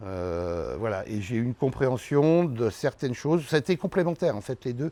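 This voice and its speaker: A man's dark, mellow voice at a medium pitch, at a fairly slow pace. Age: 60s. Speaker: winemaker. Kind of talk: interview. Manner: halting.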